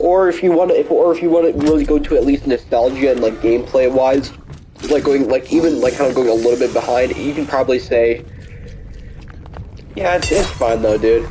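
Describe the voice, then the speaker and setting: Someone speaks at a fairly quick pace while music plays in the background. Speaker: gaming streamer. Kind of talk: casual chat. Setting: live stream. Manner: halting.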